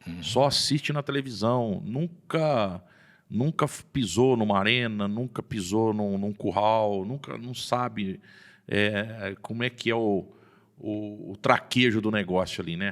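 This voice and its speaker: At a very slow pace, a man speaks at a fairly low pitch with ordinary pitch variation in a very clean recording with a silent background. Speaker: rodeo announcer, podcast guest. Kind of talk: casual podcast interview answer.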